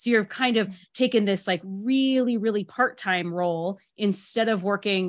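At a moderate pace and medium pitch, a woman talks in an ordinary speaking voice, with ordinary pitch variation. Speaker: podcast host. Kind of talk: casual interview chat. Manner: warm, upbeat.

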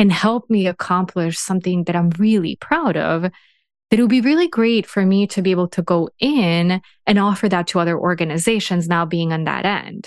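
Recorded with a dry, close sound, no echo and a quiet background, a woman with an American accent speaks in a normal speaking voice at a medium pitch and moderate pace, with ordinary pitch variation and very even loudness. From Serbia, raised in the US from age 12. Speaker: organisational psychologist and executive. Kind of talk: interview.

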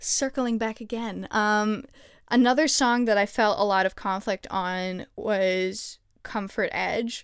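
On a very clean recording with a silent background, a woman speaks at a fairly high pitch and fairly slow pace. She has an ordinary speaking voice with fairly even intonation. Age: 20s. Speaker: podcast host. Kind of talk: casual interview chat.

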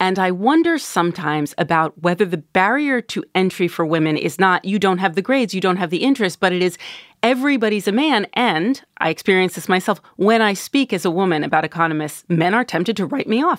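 A woman with a plain, everyday voice, lively intonation and a fairly quick pace, hardly any pauses, in a dry, close sound with no echo. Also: medium pitch for a woman. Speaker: radio host. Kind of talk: radio call-in discussion. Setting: studio.

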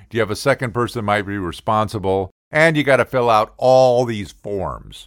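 An animated man at medium pitch with ordinary pitch variation, moderate pace and hardly any pauses, on a very clean recording with a silent background. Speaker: comedy podcaster. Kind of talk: comedic rant; angry rant. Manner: animated, sarcastic.

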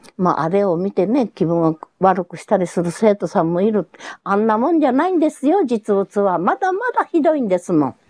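A woman with a Hiroshima accent talks at a fairly quick pace in a medium pitch with very wide pitch swings, recorded dry and close with no echo. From Japan, Hiroshima. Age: 90s. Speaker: atomic bomb survivor. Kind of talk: testimony. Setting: at home.

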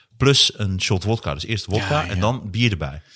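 On a very clean recording with a silent background, a man uses an ordinary speaking voice with lively intonation at a moderate pace. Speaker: comedian and podcast host. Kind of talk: casual chat.

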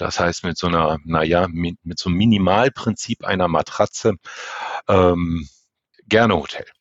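A man's very deep, low voice at a moderate pace, broken by long, frequent pauses. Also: ordinary pitch variation. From northern Germany. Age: 50s. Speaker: elevator safety inspection manager. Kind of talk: interview.

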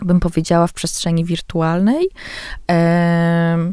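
A woman talks at a very slow pace in a dark, mellow tone with a fairly low pitch. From Poland, with teenage years in Tehran. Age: 30s. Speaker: visual artist. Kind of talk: interview. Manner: hesitant, many fillers.

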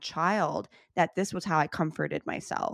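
A woman's ordinary speaking voice, fairly low-pitched with ordinary pitch variation, in an American accent, on a very clean recording with a silent background. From US Midwest, Chicago. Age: 30s. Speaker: author and podcaster. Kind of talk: interview.

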